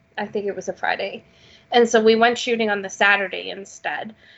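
A woman with a Canadian accent has a plain, everyday voice, speaking at a medium pitch and a moderate pace. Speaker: podcast host. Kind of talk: casual chat.

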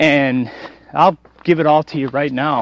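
Here a man speaks at a fairly high pitch. His pace is moderate. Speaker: radio talk show host. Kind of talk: solo monologue rant. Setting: recorded outdoors while walking a trail. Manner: loud; animated.

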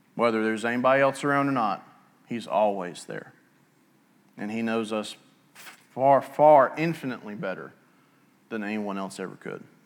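A man with an Alabama accent speaks with ordinary pitch variation, big swings in loudness, and long, frequent pauses. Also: medium pitch for a man, moderate pace. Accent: Southern US (Alabama). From US South, Etowah County, Alabama. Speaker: pastor. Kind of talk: sermon. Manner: halting.

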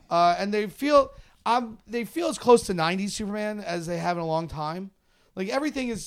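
An animated tone with very wide pitch swings at a moderate pace. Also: man. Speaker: podcast host. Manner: joking, animated.

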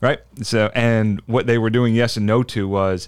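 With an American accent, a man speaks in an unremarkable speaking voice at a medium pitch and with fairly even intonation, on a very clean recording with a silent background. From US Northeast, South Jersey. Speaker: legal expert, former law enforcement. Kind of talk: casual interview chat.

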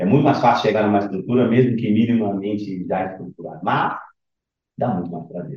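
Spoken at a fairly quick pace with ordinary pitch variation, the voice carries an audible room echo. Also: man, fairly low pitch for a man. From Rio de Janeiro, Brazil. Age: 50s. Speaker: fund manager. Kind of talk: podcast interview.

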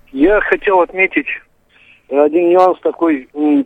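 The man's voice sits at a high pitch. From Moldova. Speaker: caller. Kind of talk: phone-in call. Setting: phone call.

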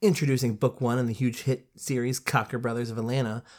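A woman talks in an animated tone on a very clean recording with a silent background. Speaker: podcast host. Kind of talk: casual banter, book review. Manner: animated, bantering.

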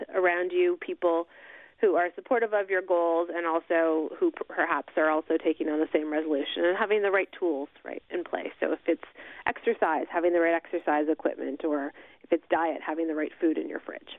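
This is a normal speaking voice, delivered with fairly even intonation at a moderate pace. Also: woman. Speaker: company spokesperson. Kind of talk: radio interview. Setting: phone call.

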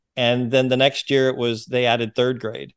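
A man with an American accent and a medium pitch talks at a moderate pace, with a dry, close sound and no echo. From US Pacific Northwest, Seattle area. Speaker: realtor and former missionary. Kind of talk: casual interview.

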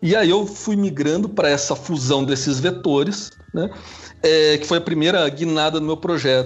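A man with a Curitiba accent and fairly high pitch, over noticeable background noise. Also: ordinary pitch variation, moderate pace. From Curitiba, southern Brazil. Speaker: international relations researcher. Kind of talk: interview.

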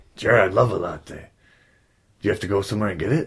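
A man's put-on character voice, raspy and warm in tone, fairly low-pitched and very fast. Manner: gruff, crude, warm.

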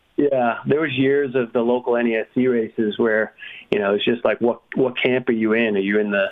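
An unremarkable speaking voice belongs to a man with an American accent, at medium pitch and moderate pace, his intonation fairly even. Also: very even loudness. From New England, US. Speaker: motocross stats specialist. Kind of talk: casual chat.

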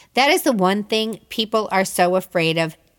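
On a very clean recording with a silent background, a woman with a normal speaking voice and an American accent talks at a medium pitch and a fairly slow pace. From Chicago, US Midwest. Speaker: podcast host. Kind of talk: casual interview and monologue.

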